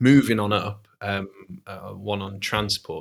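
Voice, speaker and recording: The man speaks in a Mancunian accent. His pitch is fairly low. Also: very clean recording, silent background. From Manchester, England. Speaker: podcast co-host. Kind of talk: casual chat. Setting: in a home kitchen.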